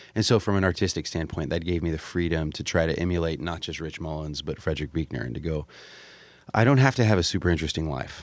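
A man with an American accent speaks at a very fast pace. His very deep, low pitch carries vocal fry and ordinary pitch variation. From Florida. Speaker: singer-songwriter. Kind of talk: interview. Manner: halting.

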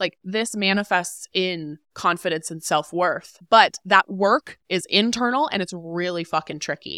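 In a very clean recording with a silent background, a woman's bright, sharp voice sits at a medium pitch with ordinary pitch variation, the sound dry and close with no echo. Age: 20s. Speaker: money and career expert, author and podcast host. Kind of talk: casual interview.

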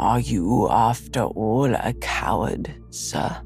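A man's put-on character voice at a very slow pace, with music clearly playing in the background. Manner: pitiless, stern, scornful.

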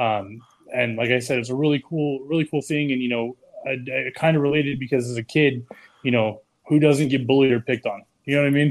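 A man's unremarkable speaking voice at medium pitch, fairly quick, with fairly even intonation. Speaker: beard club member. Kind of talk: casual chat.

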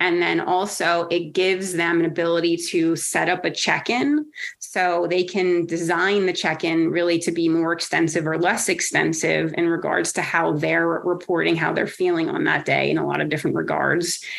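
Speaking at a moderate pace with hardly any pauses, a woman with an American accent has a fairly low pitch, vocal fry, monotone, flat intonation and very even loudness. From New Jersey. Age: 40s. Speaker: women's wrestling advocate. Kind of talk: interview.

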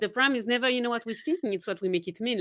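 A woman's high-pitched, bright and sharp voice with a Swiss French accent, animated and very fast. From French-speaking Switzerland. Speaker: confidence coach. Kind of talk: podcast interview. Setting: remote call. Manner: laughs often, animated.

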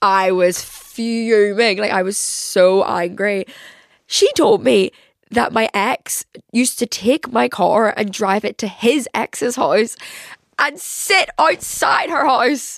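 Animated, fairly high-pitched woman's voice with a Northern Irish accent and lively intonation. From Northern Ireland. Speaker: podcast host. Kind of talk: casual chat.

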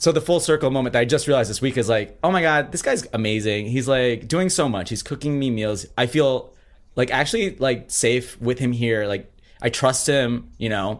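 A man with an American accent talks at a moderate pace and medium pitch, with ordinary pitch variation. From Minnesota. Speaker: drag performer. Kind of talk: casual interview.

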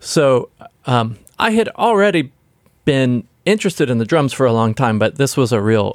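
A man with an American accent at a moderate pace, with a dry, close sound and no echo. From US South, Nashville. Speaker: record producer. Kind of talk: interview. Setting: recording studio.

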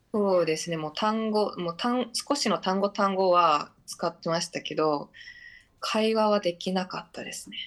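Against a quiet background, a woman with a normal speaking voice talks at medium pitch and a moderate pace, with ordinary pitch variation. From Yonaguni Island, Okinawa. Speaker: filmmaker and actor. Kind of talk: radio interview. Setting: remote call.

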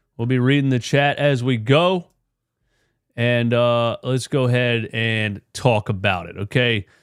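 A normal speaking voice with ordinary pitch variation, dry and close with no echo, on a very clean recording with a silent background. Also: man. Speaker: sports podcast host. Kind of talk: casual sports talk, post-game show. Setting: live stream. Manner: casual, conversational.

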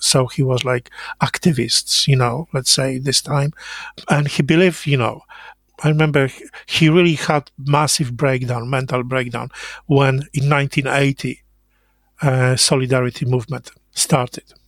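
A man with a Polish accent speaks at a fairly slow pace, with long, frequent pauses and fairly even intonation. His fairly high-pitched voice is somewhat breathy, and the sound is dry and close with no echo. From Poland, Lower Silesia. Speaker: interviewee recounting Cold War childhood. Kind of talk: oral history interview. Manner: halting.

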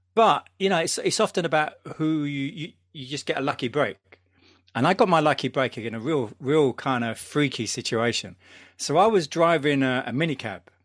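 A man with a London accent, fairly high-pitched, over a quiet background. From London, England. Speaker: DJ and podcaster. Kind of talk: casual chat.

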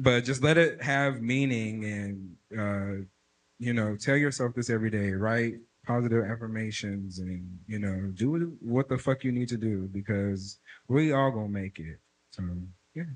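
Over a quiet background, a man with an unremarkable speaking voice speaks at a fairly slow pace, his medium pitch showing ordinary variation. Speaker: audience member. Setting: stage with audience.

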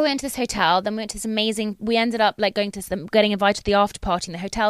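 Very fast and fairly even in intonation, a woman's medium-pitched voice comes through dry and close with no echo on a very clean recording with a silent background. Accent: British. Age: 30s. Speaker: dentist and recurring podcast guest. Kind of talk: casual chat.

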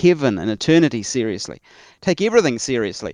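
Speaking with a New Zealand accent, a man uses lively intonation at a medium pitch, in a dry, close sound with no echo and a quiet background. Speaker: church historian and author. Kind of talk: interview conversation.

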